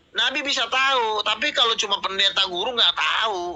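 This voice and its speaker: Projecting a raised voice, a man speaks at a moderate pace with a bright, sharp tone and lively intonation. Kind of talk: heated debate. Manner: loud.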